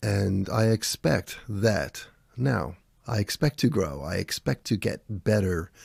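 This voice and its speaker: A man talks in a calm tone, somewhat breathy and fairly low in pitch. The recording is very clean, with a silent background. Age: 60s. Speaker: men's mindset coach. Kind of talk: motivational talk to camera. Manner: calm, reflective.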